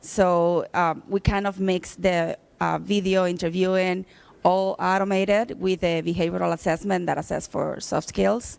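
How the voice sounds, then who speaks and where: The speaker has a Cuban accent. The recording is very clean, with a silent background. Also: moderate pace. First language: Spanish. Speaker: business development for HR tech company. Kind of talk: self-introduction.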